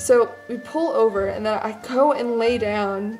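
With faint music in the background, a woman speaks with ordinary pitch variation. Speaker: vlogger. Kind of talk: casual vlog chat. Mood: amused, self-deprecating. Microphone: phone near.

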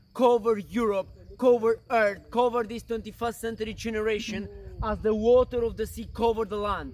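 A man speaks in a high voice with a monotone, flat delivery and an intense tone. The sound is dry, with no echo. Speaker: missionary preacher. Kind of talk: fervent prayer, leading a group in intercession; sermon-like address with prayer. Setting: outdoors in the mountains. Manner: intense, earnest, declaratory; repetitive, call-and-response rhythm. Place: open country. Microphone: camera far.

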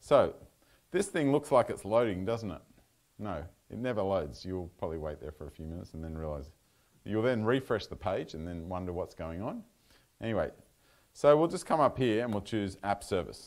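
A man with an Australian accent, fairly low in pitch, fairly quick, with very wide pitch swings and long, frequent pauses. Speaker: software consultant giving a talk; presenter. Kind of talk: technical talk with live demo. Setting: meetup venue with live audience. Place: meeting room.

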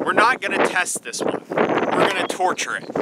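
The sound is dry, with no echo. Loud background noise fills the clip. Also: man. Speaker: vlogger testing armor plates. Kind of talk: casual vlog chat. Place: open country. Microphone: phone near.

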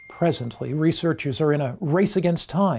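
A man with a dark, mellow, somewhat breathy tone speaks at a moderate pace with lively intonation against a quiet background. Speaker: pastor, preacher. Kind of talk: sermon, religious teaching. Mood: calm, earnest, reassuring.

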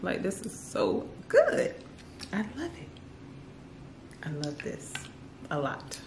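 A woman speaks slowly in a fairly low voice with vocal fry and very wide pitch swings. The room echo is audible.

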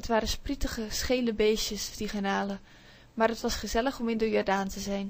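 In a normal speaking voice, a woman with a fairly high pitch talks at a moderate pace and with fairly even intonation. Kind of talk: audiobook reading aloud of a children's story, told in first person by a child narrator. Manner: gentle, dreamy, storytelling pace with small voices for the imaginary friend.

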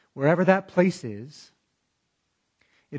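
Against a quiet background, the voice sounds somewhat breathy. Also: man. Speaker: pastor. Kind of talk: sermon preached online. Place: church. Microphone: lapel.

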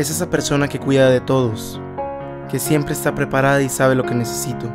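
A man speaks at a fairly quick pace with music playing in the background. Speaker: voice actor. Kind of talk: scripted promotional narration. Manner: heartfelt, tender.

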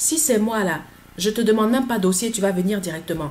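A woman talks at a fairly quick pace with lively intonation. Her voice is somewhat breathy, and there is light background noise. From Côte d'Ivoire (Abidjan, Yopougon); Côte d'Ivoire. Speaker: vlogger. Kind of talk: casual vlog monologue. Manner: animated, repetitive. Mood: frustrated, defensive. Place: home room. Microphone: webcam.

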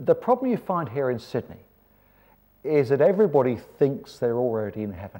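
A man with a dark, mellow tone speaks at a fairly high pitch, his voice swinging very widely in pitch and greatly in loudness. His pace is fairly quick, broken by long, frequent pauses, over a quiet background. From England. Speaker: preacher. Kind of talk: seminar talk. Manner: animated. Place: hall. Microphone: lapel.

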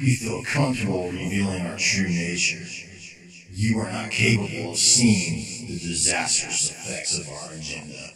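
Amid strong echo, a man speaks at a moderate pace with a very deep, low pitch. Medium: machinima. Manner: calm, menacing, mocking.

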